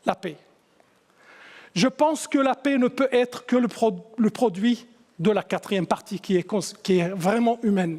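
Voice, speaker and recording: This man speaks at a very slow pace with an extremely high pitch. His intonation is lively. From Syria. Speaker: musician and composer. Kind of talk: talk to an audience. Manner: halting, with many restarts.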